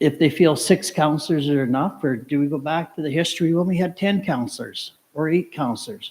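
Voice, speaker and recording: An ordinary speaking voice from a man, fairly high in pitch, at a fairly quick pace with hardly any pauses. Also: ordinary pitch variation. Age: 60s. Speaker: audience member asking a question at a candidates forum. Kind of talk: public forum question. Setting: auditorium with audience.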